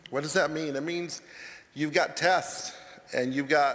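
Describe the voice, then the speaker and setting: Moderate pace and a fairly high pitch from a man, set against noticeable background noise. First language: not English. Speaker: college counselor. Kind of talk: chapel talk. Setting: church sanctuary. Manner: halting.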